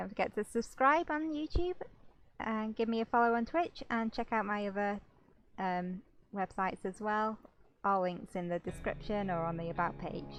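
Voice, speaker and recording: A woman speaks in a British accent at a moderate pace. Her pitch is fairly high, and her intonation is lively. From Britain. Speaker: gaming YouTuber and streamer. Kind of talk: casual let's play commentary. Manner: hesitant, with many fillers.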